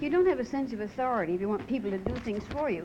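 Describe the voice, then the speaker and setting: In a Newfoundland accent, a woman talks at a very fast pace and a fairly high pitch with very wide pitch swings, amid audible room echo and noticeable background noise. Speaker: restaurant owner. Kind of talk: TV talk show interview.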